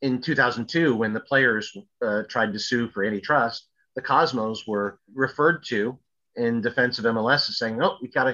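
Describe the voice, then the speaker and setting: Over a quiet background, a man talks with a New York accent. His tone is bright and sharp. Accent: New York American. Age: 50s. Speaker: sports historian. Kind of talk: casual interview.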